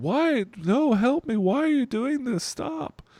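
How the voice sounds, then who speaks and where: A man uses a put-on character voice at an extremely high pitch, swinging very widely in pitch. He talks at a fairly slow pace, with a dry, close sound and no echo. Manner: pleading, desperate.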